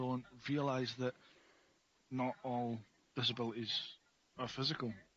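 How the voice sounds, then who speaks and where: With an Edinburgh accent, a man speaks at a medium pitch in a monotone, flat delivery. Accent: Scottish (Edinburgh). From Scotland, Edinburgh. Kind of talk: casual interview.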